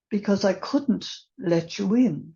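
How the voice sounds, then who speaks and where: In an Irish accent, a woman speaks at a very slow pace and a medium pitch. Her voice is somewhat breathy, with lively intonation. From Ireland. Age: 80s+. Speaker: recovery meeting speaker. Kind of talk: testimony. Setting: online meeting.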